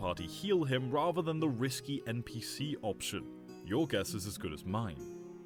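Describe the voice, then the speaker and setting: A man's voice with music in the background. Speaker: reddit story narrator. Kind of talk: reddit story narration.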